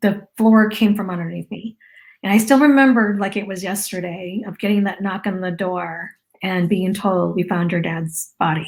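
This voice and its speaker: A woman with an American accent speaks at a moderate pace in a medium pitch. Her voice is somewhat breathy, with fairly even intonation. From US, Lao immigrant family. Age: 40s. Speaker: marketing business owner sharing personal story. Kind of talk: interview testimony.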